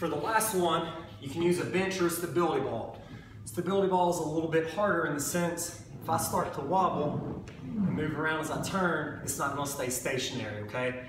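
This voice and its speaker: A man talks at a fairly quick pace with ordinary pitch variation, heard with audible room echo and light background noise. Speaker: fitness trainer. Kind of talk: tutorial. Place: gym. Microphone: camera far.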